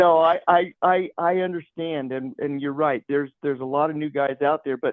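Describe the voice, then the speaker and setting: Fairly even intonation runs through this man's unremarkable speaking voice. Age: 60s. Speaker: tournament bass angler. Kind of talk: casual interview chat. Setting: phone call.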